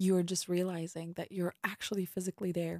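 Dry and close with no echo, a woman's medium-pitched voice has a calm, soothing, dark, mellow tone. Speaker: podcast host and meditation guide. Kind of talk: guided meditation. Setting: podcast recording, listener told to close eyes and listen. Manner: slow, calm and soothing, with unhurried pauses between instructions; soft, gentle and reassuring.

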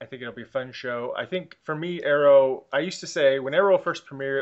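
A man talks at a fairly quick pace with ordinary pitch variation. He has a plain, everyday voice. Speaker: podcast host. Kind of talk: casual chat. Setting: remote recording.

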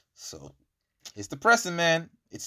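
An animated tone and a slight Irish accent come through at a moderate pace on a very clean recording with a silent background. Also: man. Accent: Irish English, lighter, with African heritage. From Ireland. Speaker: podcast host. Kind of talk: casual chat.

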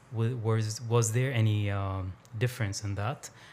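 A man speaks at a moderate pace with a medium pitch. His voice is somewhat breathy, with fairly even intonation. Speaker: podcast host. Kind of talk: casual interview conversation. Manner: halting, many fillers.

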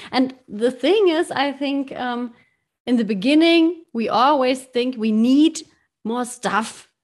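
A woman speaks at a very slow pace in a high pitch. She has a slight German accent and ordinary pitch variation. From Germany. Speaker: podcast host. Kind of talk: interview. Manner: halting.

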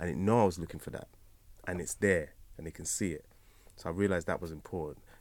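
A man speaks at a very fast pace with a very deep, low pitch and big swings in loudness. Long, frequent pauses break up his speech. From London and Nigeria (Lagos). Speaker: rapper and educator. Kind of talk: interview, casual chat. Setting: studio. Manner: animated.

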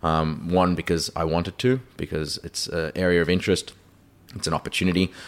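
On a very clean recording with a silent background, a man with an Australian accent speaks fairly quickly in a very deep, low pitch with fairly even intonation. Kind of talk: interview.

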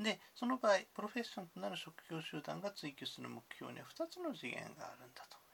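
Hardly any pauses break the speech. It moves along fairly quickly. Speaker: university lecturer. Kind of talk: lecture. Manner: formal.

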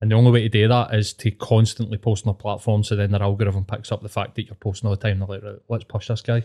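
A man with a Scottish accent speaks at a very fast pace and fairly low pitch, with hardly any pauses, a monotone, flat intonation and a dark, mellow tone that is somewhat breathy. The recording is very clean with a silent background, and the sound is dry and close with no echo. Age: 40s. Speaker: podcast guest. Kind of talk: casual chat.

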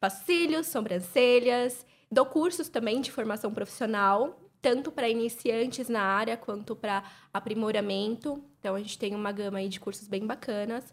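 At a moderate pace, a woman with a normal speaking voice talks in a fairly high pitch with ordinary pitch variation on a very clean recording against a silent background. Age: 20s. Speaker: beauty entrepreneur. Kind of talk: casual chat.

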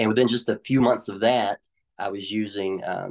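In a Tennessee accent, the speaker talks at a moderate pace with monotone, flat intonation. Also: man. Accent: Southern US (Tennessee). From Middle Tennessee, US South. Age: 40s. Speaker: recovered addict sharing testimony. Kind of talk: testimony.

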